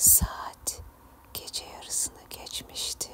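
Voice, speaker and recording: Whispered speech at a very slow pace, with noticeable background noise. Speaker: ASMR storyteller / channel host. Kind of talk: ASMR horror story narration. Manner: soft, relaxing, whispery.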